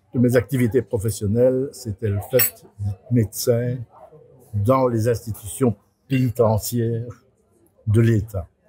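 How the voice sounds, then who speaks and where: Speaking very slowly with long, frequent pauses, a man uses a medium-pitched, somewhat breathy voice with a dark, mellow tone and fairly even intonation, recorded with a dry, close sound and no echo. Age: 70s. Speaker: neuropsychiatrist. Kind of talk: interview. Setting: hospital cafeteria.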